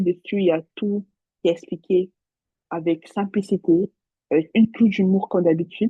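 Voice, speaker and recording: At a moderate pace and medium pitch, a woman speaks with monotone, flat intonation, big swings in loudness, and long, frequent pauses. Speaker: nursing exam tutor. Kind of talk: recorded live revision session. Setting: talking to a computer alone. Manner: mumbles words at times.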